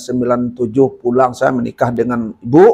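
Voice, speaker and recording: An ordinary speaking voice from a man, medium-pitched with ordinary pitch variation. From Sungai Penuh, Jambi, Sumatra, Indonesia. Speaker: legislative candidate, former teacher. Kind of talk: podcast interview, personal storytelling.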